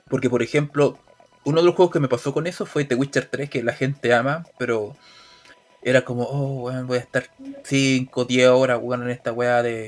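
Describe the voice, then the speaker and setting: Fairly even intonation marks this man's medium-pitched speech. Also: moderate pace. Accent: Chilean. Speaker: video game podcast co-host. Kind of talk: casual chat.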